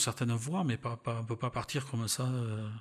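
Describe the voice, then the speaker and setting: In a southern French accent, a man speaks with fairly even intonation on a very clean recording with a silent background. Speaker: retired railway worker and travel photographer. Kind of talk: interview conversation. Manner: hesitant, many fillers.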